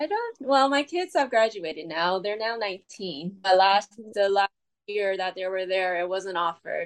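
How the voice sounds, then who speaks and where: A woman with an ordinary speaking voice, medium pitch, ordinary pitch variation and a fairly slow pace. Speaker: marathon swimmer. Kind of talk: casual interview.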